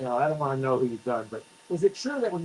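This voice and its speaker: Talking at a very fast pace, the man has a fairly high pitch, with noticeable background noise behind him. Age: 60s. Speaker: laser treatment patient. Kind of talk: casual chat.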